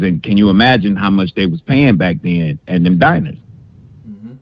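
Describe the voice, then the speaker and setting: A man talks at a fairly quick pace in a fairly low pitch. His intonation is lively. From Detroit, US. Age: 40s. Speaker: caller, military veteran. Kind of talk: phone call-in conversation. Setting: phone call.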